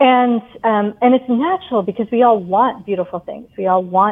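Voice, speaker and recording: With an ordinary speaking voice, a woman speaks in an American accent at a moderate pace, her fairly high voice carrying lively intonation. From England, then US. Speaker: yoga teacher and author. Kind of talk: interview.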